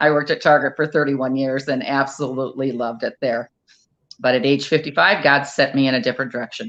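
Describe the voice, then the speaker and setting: Her pitch is very deep and low for a woman. She speaks at a fairly quick pace. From Iowa, US Midwest. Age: 60s. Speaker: wedding planner. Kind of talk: interview.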